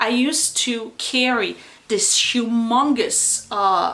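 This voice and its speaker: With a slight French accent, a woman speaks in a fairly high, bright and sharp voice with ordinary pitch variation. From France. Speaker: YouTuber. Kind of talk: casual chat. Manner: hesitant, many fillers.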